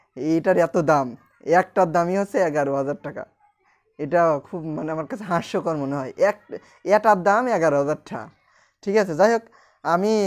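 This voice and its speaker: The man's pitch is high. Behind him, the background stays quiet. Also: ordinary pitch variation. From Bangladesh, Rajbari district; Bangladesh. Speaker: vlogger. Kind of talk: casual vlog monologue. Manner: halting. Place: home room. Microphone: recording with a new external microphone; lapel.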